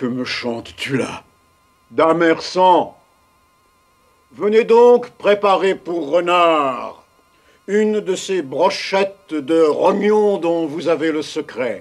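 Using a put-on character voice, the speaker talks at a very slow pace with long, frequent pauses. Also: man, high pitch for a man. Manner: excitable, distraught.

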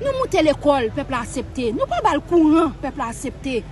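With a high pitch and very wide pitch swings, a woman speaks in a dry sound with no echo over light background noise. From Haiti. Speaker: street spokesperson. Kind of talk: political rant. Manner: animated. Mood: angry, indignant. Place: garden.

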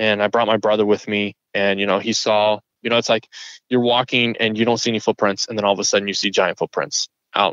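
A man speaks at a very fast pace in a fairly low pitch. His intonation stays monotone and flat. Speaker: hiker who had a Bigfoot encounter. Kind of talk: interview answer, telling his story.

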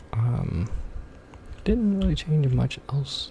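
A man speaks softly. There is light background noise behind him. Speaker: ASMR creator. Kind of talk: relaxing ASMR video game commentary. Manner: soft-spoken. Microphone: studio mic.

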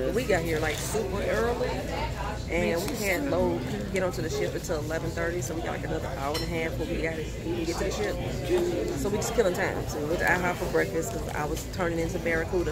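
Amid loud background noise, a woman speaks at a fairly quick pace. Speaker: travel vlogger. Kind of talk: casual vlog chat. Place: cafe. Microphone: phone near.

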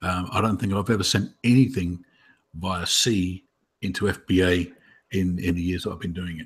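A man speaks with a very deep, low voice that is somewhat breathy. His intonation is fairly even and his pace moderate. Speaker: webinar host. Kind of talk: casual webinar discussion. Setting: video call.

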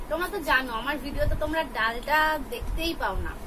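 Over crowd noise in the background, a woman speaks in a raised, projected voice. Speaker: food vlogger. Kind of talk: casual vlog chat. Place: home room. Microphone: phone near.

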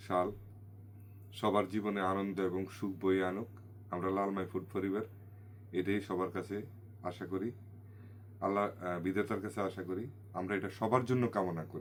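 Monotone, flat intonation from a man with a fairly low pitch. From Bangladesh, Comilla region. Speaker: food channel vlogger. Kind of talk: new year greeting message to viewers.

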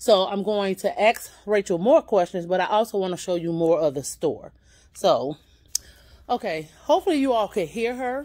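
At a moderate pace, a woman speaks at a medium pitch with very wide pitch swings. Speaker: YouTube vlogger; vlogger. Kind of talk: casual store tour vlog. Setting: in a thrift store. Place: shop. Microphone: phone near.

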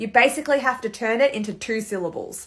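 Using an Australian accent, a woman speaks at a moderate pace and a fairly high pitch, with ordinary pitch variation. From Melbourne, Australia. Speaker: social media creator. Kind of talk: casual talk to camera. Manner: amused, chatty. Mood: playful, amused. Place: home room. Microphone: phone near.

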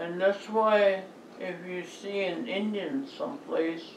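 Over light background noise and audible room echo, the speaker goes at a very slow pace with ordinary pitch variation. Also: woman. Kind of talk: recorded address to a conference. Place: home room. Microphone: phone near.

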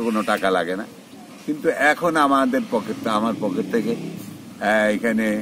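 Over noticeable background noise, a man speaks with very wide swings in pitch. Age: old. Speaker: war veteran and dairy farmer. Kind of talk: interview. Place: farm. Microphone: phone near.

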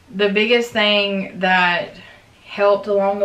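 Audible room echo surrounds a woman's voice. She talks at a fairly slow pace in a flat, monotone way. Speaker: vlogger. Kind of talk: casual vlog chat. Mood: earnest, reflective. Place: home room. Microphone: camera far.

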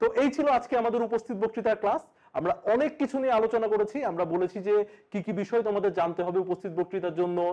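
Against a quiet background, a man with a slight southern Bengal accent speaks in a dark, mellow tone at a high pitch, with ordinary pitch variation and very even loudness. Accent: slight southern Bengal traits in sibilants. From Bangladesh, Kushtia (southern Bengal); Bangladesh. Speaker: online teacher. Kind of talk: lecture. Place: studio.

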